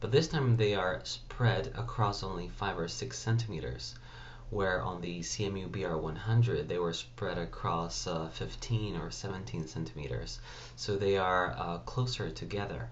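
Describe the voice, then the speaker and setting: A man with a very deep, low voice and vocal fry speaks at a moderate pace over light background noise. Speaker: tech reviewer. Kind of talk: tech review commentary. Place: home room. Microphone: webcam.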